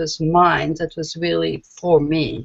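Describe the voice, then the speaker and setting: A woman speaks with a French accent. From France, Paris. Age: 50s. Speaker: comics editor and publisher. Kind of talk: interview.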